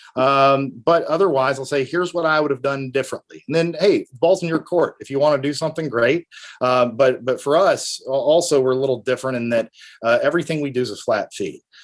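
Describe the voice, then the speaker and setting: A man with a Tennessee accent, talking at a fairly quick pace. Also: fairly high pitch for a man, ordinary pitch variation. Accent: Tennessee country. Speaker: estate planning attorney. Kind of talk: interview. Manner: halting, many fillers.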